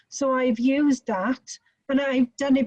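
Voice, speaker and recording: A woman's high-pitched, dark, mellow voice in a strong Welsh accent, at a moderate pace. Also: dry, close sound with no echo. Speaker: nurse educator. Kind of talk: webinar.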